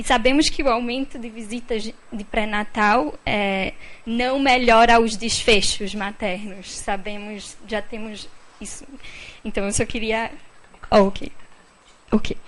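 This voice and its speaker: Amid audible room echo, a woman speaks at a very slow pace with long, frequent pauses. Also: fairly high pitch for a woman. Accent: non-native. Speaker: audience member asking a question. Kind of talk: question from the floor at a panel event. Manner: halting, many fillers.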